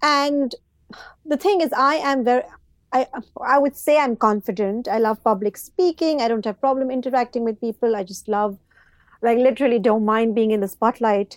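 With lively intonation and a high pitch, a woman speaks at a moderate pace in a dry, close sound with no echo. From Pakistan. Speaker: author and executive coach. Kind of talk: casual interview conversation.

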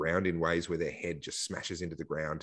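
With an Australian accent, a man speaks in a very deep, low pitch against a quiet background. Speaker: political activist and commentator. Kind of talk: casual interview.

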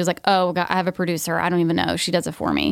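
A fairly low-pitched woman's voice in a very clean recording with a silent background, dry and close with no echo. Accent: American. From US South, Georgia. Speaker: nurse practitioner and podcast host. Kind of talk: casual interview chat. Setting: studio.

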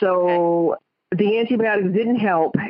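A woman talks with a Rhode Island accent. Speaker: caller. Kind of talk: phone call to a psychic. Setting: phone call.

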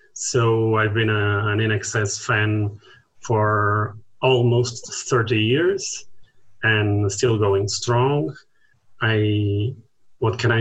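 Speaking very slowly with a Portuguese accent, a man uses a fairly low, somewhat breathy voice. His loudness stays very even and his intonation monotone and flat. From Portugal. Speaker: music fan and collector. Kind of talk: casual chat. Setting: video call.

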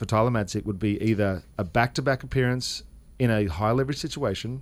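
A man with an Australian accent speaks at a medium pitch with ordinary pitch variation. The recording is very clean, with a silent background. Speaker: former baseball player, fill-in radio guest. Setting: radio booth studio.

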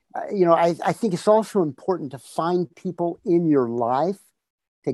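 A man with a fairly high pitch, ordinary pitch variation and an ordinary speaking voice, in a dry, close sound with no echo. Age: 60s. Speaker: fitness entrepreneur and author. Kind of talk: interview conversation.

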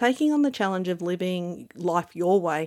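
A woman at medium pitch and a moderate pace, in a very clean recording with a silent background. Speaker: life coach and podcast host. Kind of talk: scripted monologue. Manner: animated.

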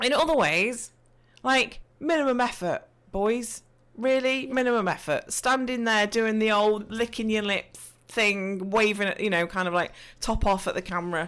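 Recorded very cleanly against a silent background, a woman with an East Midlands accent speaks at a moderate pace and fairly high pitch, with ordinary pitch variation and very even loudness. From English Midlands. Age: 40s. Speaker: Twitch streamer and podcaster. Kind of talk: casual interview chat.

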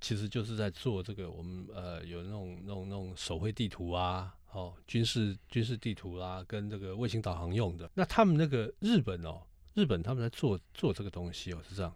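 In a Taiwanese accent, a man with a fairly low voice speaks at a moderate pace with hardly any pauses and big swings in loudness, on a very clean recording with a silent background. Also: ordinary pitch variation. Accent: Taiwanese Mandarin. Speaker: podcast co-host, car enthusiast. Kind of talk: casual chat.

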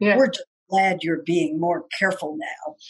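Using a strained, put-on character voice, a woman speaks at a moderate pace at a medium pitch. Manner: through clenched teeth, tense and strained.

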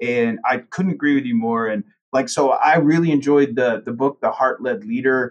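A man with a plain, everyday voice speaks at medium pitch, moving at a moderate pace and varying his pitch in an ordinary way. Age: 40s. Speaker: accounting firm partner. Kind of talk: casual interview.

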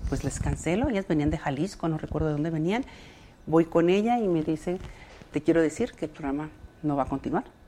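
A woman speaks in a dark, mellow tone. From Mexico, Ciudad Juárez. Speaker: childcare center advocate. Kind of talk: interview.

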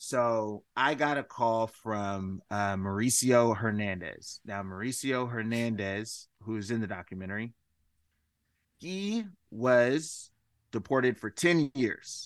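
In an American accent, a man speaks at a very slow pace against a quiet background. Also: medium pitch for a man, ordinary pitch variation. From US West Coast, Washington State. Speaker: musician, filmmaker and advocate. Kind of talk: interview conversation. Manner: hesitant, many fillers.

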